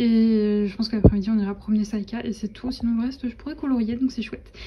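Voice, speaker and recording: This woman's voice is fairly high, and her intonation stays monotone and flat. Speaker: vlogger. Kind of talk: casual vlog chat. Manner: hesitant, many fillers.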